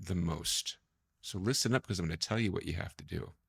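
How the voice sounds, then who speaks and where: A soft-spoken man with lively intonation, on a very clean recording with a silent background. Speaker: corporate trainer. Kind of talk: motivational training talk. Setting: studio.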